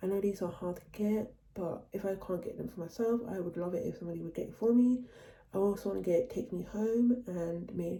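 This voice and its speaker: A woman talks at a fairly quick pace. Her voice is somewhat breathy, with a dark, mellow tone. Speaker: vlogger / vinyl collector. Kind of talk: casual vlog talk. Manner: fast.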